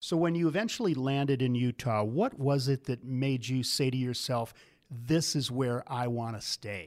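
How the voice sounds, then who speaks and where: On a very clean recording with a silent background, a man with an American accent uses a plain, everyday voice at a medium pitch and a moderate pace, with ordinary pitch variation. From US Midwest. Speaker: podcast host. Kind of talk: interview, conversational. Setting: on location at ski resort lodge.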